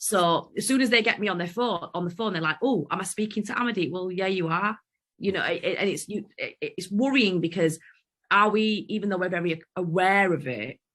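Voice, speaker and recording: A woman talks at a fairly quick pace with a strong Yorkshire accent. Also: medium pitch for a woman, ordinary pitch variation. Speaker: podcast co-host. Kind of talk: casual chat.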